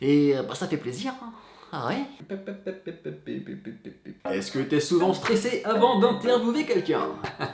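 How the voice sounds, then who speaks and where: Over noticeable background noise, a man with a high pitch talks at a very slow pace, with long, frequent pauses, very wide pitch swings and big swings in loudness. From western France (Cholet, Maine-et-Loire). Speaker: entertainment journalist, YouTuber. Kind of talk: casual vlog FAQ. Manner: animated.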